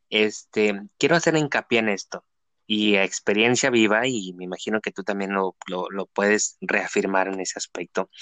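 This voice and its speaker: Over a quiet background, a man talks at a moderate pace in a fairly low pitch with a bright, sharp tone, ordinary pitch variation, and a dry, close sound with no echo. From Mexico, Tijuana. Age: 20s. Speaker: podcast host. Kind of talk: casual interview. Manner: halting, many fillers.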